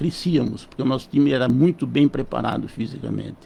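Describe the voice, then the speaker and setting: With vocal fry and a dark, mellow tone, a man speaks with ordinary pitch variation. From São Paulo state, Brazil. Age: 70s. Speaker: physician. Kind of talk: radio interview.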